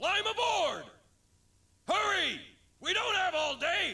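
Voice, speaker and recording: This put-on character voice is extremely high in pitch. It moves at a fairly slow pace. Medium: fan dub. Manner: urgent, shouting.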